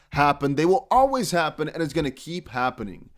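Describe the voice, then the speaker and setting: Fairly high-pitched male voice with very wide pitch swings and a fairly quick pace, on a very clean recording with a silent background. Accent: non-native. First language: not English. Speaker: crypto YouTuber. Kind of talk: casual video commentary. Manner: conversational, direct address to viewers.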